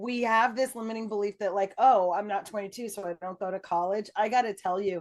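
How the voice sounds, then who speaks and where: There is an ordinary speaking voice from a woman here. She talks at a fairly quick pace with ordinary pitch variation. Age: 60s. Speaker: podcast host. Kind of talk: interview.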